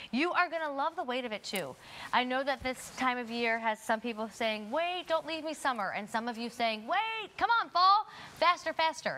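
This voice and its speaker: Projecting in a raised voice, a woman with a high pitch and an upbeat tone talks at a moderate pace, her pitch swinging very widely. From Baltimore. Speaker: shopping channel host. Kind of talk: sales presentation. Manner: upbeat, chatty sales patter. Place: studio. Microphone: lapel.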